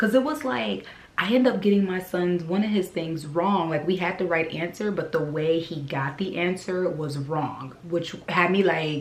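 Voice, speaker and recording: Animated in tone, a woman with a fairly low pitch speaks at a moderate pace with hardly any pauses and ordinary pitch variation, with audible room echo around her. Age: 40s. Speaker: vlogger. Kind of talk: casual vlog talk.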